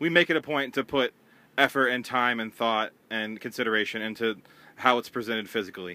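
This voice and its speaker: At a fairly quick pace, a man talks in an ordinary speaking voice, with medium pitch and ordinary pitch variation. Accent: American. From US Midwest (Cincinnati, Ohio). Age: 20s. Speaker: record label owner. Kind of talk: casual chat.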